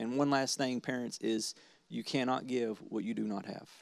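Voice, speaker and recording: This is a man with a normal speaking voice, medium in pitch with ordinary pitch variation. He talks at a moderate pace in a very clean recording with a silent background. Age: 30s. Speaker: pastor. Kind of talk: sermon wrap-up.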